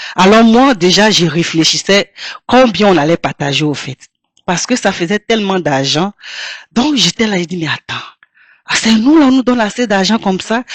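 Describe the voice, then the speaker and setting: A woman speaks at a moderate pace with lively intonation, leaving long, frequent pauses. The sound is dry and close, with no echo. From Côte d'Ivoire, Abidjan. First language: Toura (speaking French). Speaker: singer. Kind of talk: interview.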